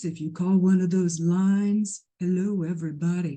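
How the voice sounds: Using a put-on character voice, the speaker talks at a moderate pace and a middle pitch, resonant and flat in a monotone.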